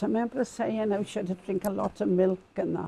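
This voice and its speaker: A woman with a south Wales Valleys accent speaks at a medium pitch in a dark, mellow tone, the sound dry and close with no echo. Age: 80s+. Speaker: community campaigner. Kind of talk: interview storytelling.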